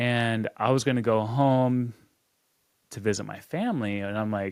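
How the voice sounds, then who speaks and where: With an American accent, a man talks at a moderate pace in an unremarkable speaking voice, medium in pitch and fairly even in intonation. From US Midwest, Kansas. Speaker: podcast co-host. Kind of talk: casual chat.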